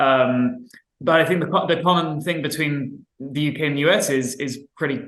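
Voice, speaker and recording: A man speaks at a moderate pace with fairly even intonation. Audible room echo surrounds his voice. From UK/Ireland. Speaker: workplace climate organizing expert. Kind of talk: panel discussion. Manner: stammering, many repetitions.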